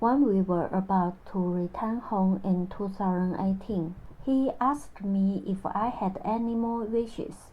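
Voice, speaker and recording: A woman with a Chinese accent, somewhat breathy, medium in pitch, with ordinary pitch variation and a fairly slow pace. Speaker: vlogger telling personal story. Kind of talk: personal narration. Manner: halting non-native phrasing.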